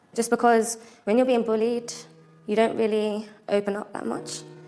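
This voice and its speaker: Audible room echo is present. It surrounds a woman as she talks. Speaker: model contestant. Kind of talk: press conference answers.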